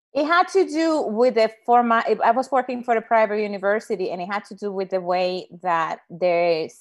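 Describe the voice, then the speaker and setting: With a Spanish accent and lively intonation, a woman speaks at a medium pitch against a quiet background. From Dominican Republic. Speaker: Spanish professor. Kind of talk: casual interview. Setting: video call.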